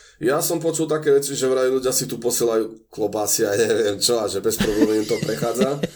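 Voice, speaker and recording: The speech runs at a fairly quick pace with ordinary pitch variation, set against noticeable background noise. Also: man, medium pitch for a man, hardly any pauses. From eastern Slovakia, Spiš region. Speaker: Slovak expatriate in Japan. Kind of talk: casual interview.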